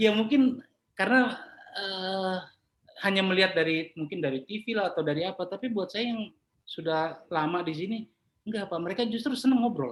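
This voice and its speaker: A man talks at a fairly quick pace with lively intonation. His pitch is high for a man. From Papua, Jayapura. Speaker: property appraiser. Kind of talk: interview conversation. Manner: casual.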